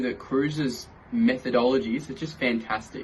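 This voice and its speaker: Enthusiastic in tone, a man speaks at a medium pitch. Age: young. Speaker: sales closer. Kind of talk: video testimonial.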